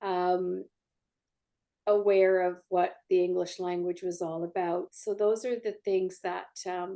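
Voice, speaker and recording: Speaking in a Canadian accent, a woman at a medium pitch with a dark, mellow tone moves at a very slow pace in a monotone, flat intonation. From Canada, Greek immigrant family. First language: Greek. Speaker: author. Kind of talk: interview.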